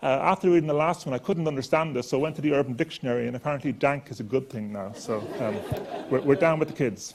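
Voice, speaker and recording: A man with an Irish accent and a fairly high pitch, very fast with hardly any pauses, ordinary pitch variation, over noticeable background noise. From Ireland. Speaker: chemistry professor. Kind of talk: lecture.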